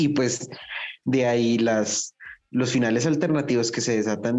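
At a fairly slow pace, a man talks in a plain, everyday voice with ordinary pitch variation. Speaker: podcast co-host. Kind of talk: casual chat.

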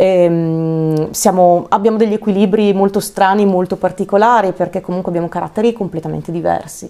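A woman with a plain, everyday voice speaks at a fairly quick pace and medium pitch, using fairly even intonation and hardly any pauses. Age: 30s. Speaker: singer. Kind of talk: casual chat.

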